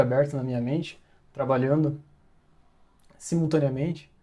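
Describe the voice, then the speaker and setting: A man speaks with a fairly high pitch and a fairly even intonation. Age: 30s. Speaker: design business owner, self-improvement vlogger. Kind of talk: motivational monologue. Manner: casual, with hesitations.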